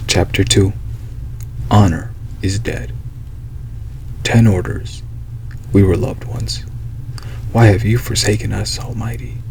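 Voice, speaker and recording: A soft-spoken man talks at a fairly slow pace in a very deep, low voice with very wide pitch swings. He leaves long, frequent pauses, and there is noticeable background noise. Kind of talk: audiobook reading.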